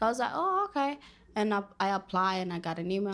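A woman speaks with a Spanish accent at a fairly quick pace. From Dominican Republic. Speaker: college student. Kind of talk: casual interview.

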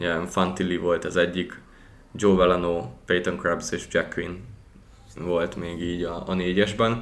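A man speaks at a fairly slow pace with a very deep, low pitch. Long, frequent pauses break up his speech amid audible room echo. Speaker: hockey podcast host. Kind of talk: casual chat.

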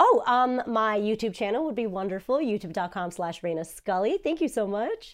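Talking at a moderate pace with hardly any pauses, a woman uses a fairly high pitch and lively intonation in a New Jersey accent. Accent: American English, New Jersey. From New Jersey, US. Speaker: voice actor and YouTuber. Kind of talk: casual chat.

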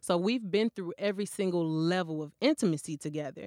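A woman with an American accent uses a normal speaking voice at a fairly low pitch, with ordinary pitch variation and a fairly quick pace. The sound is dry and close with no echo, on a very clean recording with a silent background. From Flint, Michigan. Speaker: author. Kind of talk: interview.

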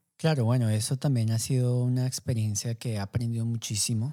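The recording is very clean and dry, close with no echo and a silent background, as a man talks at a fairly quick pace with a medium pitch, a dark, mellow tone and monotone, flat intonation. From Colombia, Bogotá. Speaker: coffee entrepreneur. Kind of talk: interview. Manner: halting, many fillers.

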